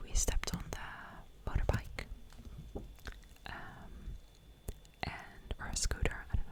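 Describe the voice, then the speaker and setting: A woman whispering at a fairly slow pace, with noticeable background noise. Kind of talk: ASMR show and tell, casual talk to camera. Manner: whispered.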